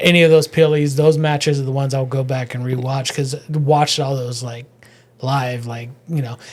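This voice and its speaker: A man speaks at a moderate pace in a fairly high, somewhat breathy voice, his intonation flat and monotone while his loudness swings widely. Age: 40s. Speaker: comedian. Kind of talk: casual chat.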